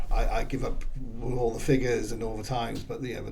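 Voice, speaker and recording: There is noticeable background noise and audible room echo as a man talks at a fairly quick pace. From southern England, Swindon, Wiltshire. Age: 50s. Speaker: political candidate. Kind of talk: casual chat.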